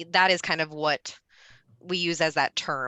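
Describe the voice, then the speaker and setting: A woman with a very deep, low pitch and a bright, sharp tone speaks at a fairly slow pace in monotone, flat intonation, with a dry, close sound, no echo and a quiet background. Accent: Midwestern American. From US Midwest, Ohio. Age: 30s. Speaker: presenter. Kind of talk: Q&A answer.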